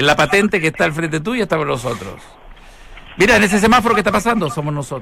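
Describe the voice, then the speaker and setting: Very wide pitch swings mark this voice at a very fast pace against noticeable background noise. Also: man, high pitch for a man. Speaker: radio host. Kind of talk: casual chat.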